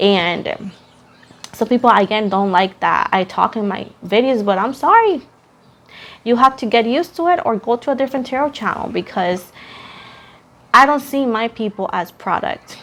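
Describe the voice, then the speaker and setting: Speaking in a Puerto Rican accent, a woman with a fairly high pitch talks at a moderate pace with lively intonation and long, frequent pauses. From Puerto Rico. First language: Spanish. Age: 20s. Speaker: tarot reader. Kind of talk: casual chat.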